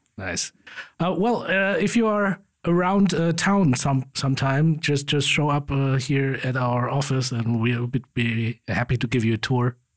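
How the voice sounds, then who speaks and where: A man with a fairly high pitch speaks at a fairly slow pace with lively intonation and very even loudness. The recording is very clean, with a silent background. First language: German. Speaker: podcast host. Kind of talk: casual interview.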